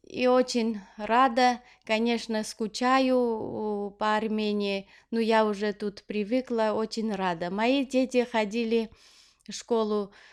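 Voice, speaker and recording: Someone speaks at a very slow pace in an Armenian accent on a very clean recording with a silent background. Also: woman. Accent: Armenian accent in Russian. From Armenia (Leninakan/Gyumri). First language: Armenian (speaking Russian). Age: 40s. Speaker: knitting vlogger. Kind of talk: casual Q&A vlog. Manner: hesitant, many fillers.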